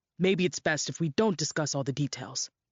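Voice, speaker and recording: A put-on character voice growls at a fairly quick pace in a low-to-middle pitch. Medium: read story. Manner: measured, businesslike.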